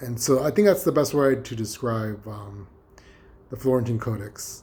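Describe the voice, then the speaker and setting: A man's somewhat breathy voice, dark and mellow in tone. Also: medium pitch for a man, ordinary pitch variation, moderate pace. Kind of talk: casual talk to camera. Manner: hesitant, rambling, many fillers.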